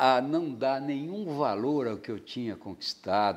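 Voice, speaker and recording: On a very clean recording with a silent background, a man talks at a very slow pace. His medium-pitched voice has lively intonation. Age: 60s. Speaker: painter. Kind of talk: interview. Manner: halting.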